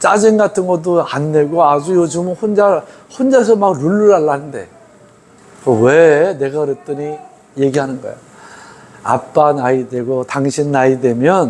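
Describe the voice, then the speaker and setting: A fairly high-pitched man with lively intonation, at a fairly slow pace with long, frequent pauses, over noticeable background noise. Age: 60s. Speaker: pastor. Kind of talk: sermon. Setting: church. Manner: conversational, informal asides to congregation.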